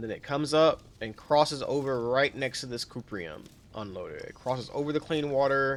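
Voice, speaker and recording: A man's voice at a medium pitch with ordinary pitch variation. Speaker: gaming tutorial creator. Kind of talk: tutorial. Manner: casual; fast.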